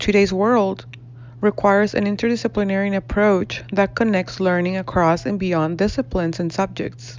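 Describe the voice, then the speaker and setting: A woman speaks with a Spanish accent. Her pitch swings very widely. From northern Mexico (Reynosa, Tamaulipas). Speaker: graduate student and educator. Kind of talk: class presentation, reading aloud. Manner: formal.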